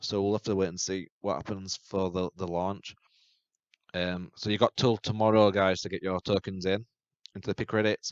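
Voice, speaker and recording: In a British accent, a man speaks at a very deep, low pitch with monotone, flat intonation, recorded dry and close with no echo. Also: moderate pace, quiet background. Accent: UK. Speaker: YouTube crypto channel host. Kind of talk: tutorial. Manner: halting.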